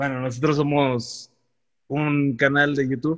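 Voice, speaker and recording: This man speaks with a Mexican accent. His pace is very slow. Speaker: podcast host. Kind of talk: casual chat.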